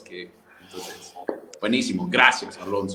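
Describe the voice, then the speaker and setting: Over noticeable background noise and audible room echo, a man with an American accent talks with lively intonation. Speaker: church conference co-host. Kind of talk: online conference wrap-up and giveaway announcements.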